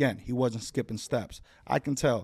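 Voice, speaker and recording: A man speaks with an American accent and ordinary pitch variation. The recording is very clean, with a silent background and a dry, close sound with no echo. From Chicago, northwest side. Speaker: fitness trainer. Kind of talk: casual chat.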